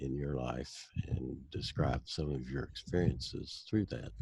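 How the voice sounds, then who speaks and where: At a fairly slow pace, a man speaks with vocal fry and ordinary pitch variation. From United States. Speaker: personality type instructor. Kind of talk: casual chat.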